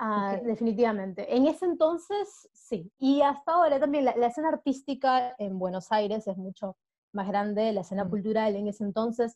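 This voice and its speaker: A woman talks at a fairly quick pace with lively intonation. Her tone is dark and mellow. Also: fairly high pitch for a woman. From Peru. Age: 30s. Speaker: diving instructor and traveler. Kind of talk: interview conversation.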